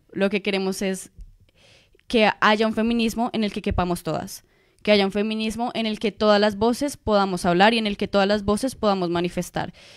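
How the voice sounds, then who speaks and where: In an unremarkable speaking voice, a woman of medium pitch talks at a fairly quick pace with fairly even intonation. The recording is very clean, with a silent background. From Colombia. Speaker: master's student and activist. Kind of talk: radio interview.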